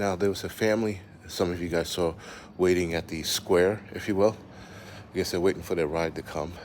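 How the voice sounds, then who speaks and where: A man speaks quietly at a moderate pace. His very deep, low voice keeps fairly even intonation. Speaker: prepper channel host doing live stream walk. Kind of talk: live stream walking tour. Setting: outdoors, walking streets at night. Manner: talking low, quiet.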